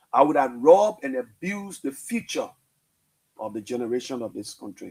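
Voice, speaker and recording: A man talks at a fairly quick pace. His pitch swings very widely and his loudness rises and falls sharply. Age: 60s. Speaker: radio host. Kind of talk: emotional radio monologue.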